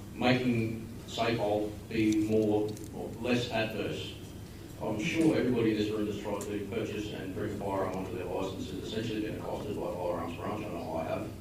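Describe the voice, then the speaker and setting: With an Australian accent, a man speaks at a fairly quick pace in a fairly low pitch with fairly even intonation, with audible room echo and noticeable background noise. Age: young. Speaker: audience member asking questions. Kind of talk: public Q&A question. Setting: public meeting hall.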